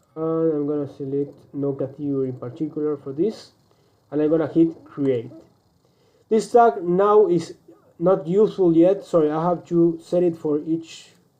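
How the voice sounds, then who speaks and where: A man with a Spanish accent speaks in a dark, mellow tone. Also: fairly high pitch for a man, ordinary pitch variation, moderate pace. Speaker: online business coach; presenter. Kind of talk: screen-recorded tutorial; tutorial. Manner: halting, many fillers and restarts.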